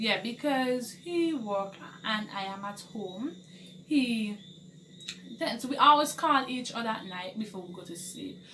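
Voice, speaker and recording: Speaking at a fairly slow pace, a woman with a fairly high pitch uses lively intonation and big swings in loudness, with audible room echo. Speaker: vlogger, wife of a police officer. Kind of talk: casual vlog chat. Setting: at home alone.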